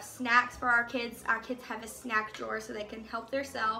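Light background noise sits behind a woman speaking at a moderate pace, her intonation fairly even. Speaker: home vlogger. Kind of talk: casual vlog chat. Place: kitchen. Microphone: phone near.

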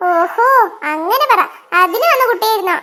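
This cartoonish character voice has a bright, sharp tone and lively intonation. The pace is moderate.

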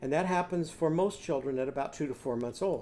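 With a dark, mellow tone, a man talks at a fairly quick pace. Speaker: literacy teacher. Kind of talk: lecture. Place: home room. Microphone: webcam.

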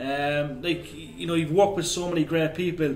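A man's fairly high-pitched voice with audible room echo and light background noise. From Ireland. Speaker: sports interviewer. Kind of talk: interview questions. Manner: casual, hesitant. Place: home room.

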